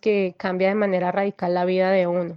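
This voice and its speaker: With a Bogotá accent, a woman speaks at a moderate pace. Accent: Bogotá Colombian Spanish. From Colombia, Bogotá. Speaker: guest sharing life story. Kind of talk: testimony. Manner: halting.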